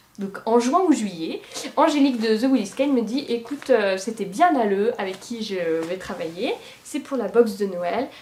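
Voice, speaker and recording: The speaker talks at a moderate pace with lively intonation over noticeable background noise. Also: woman. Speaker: knitting podcaster. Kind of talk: casual monologue podcast. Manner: hesitant with many fillers.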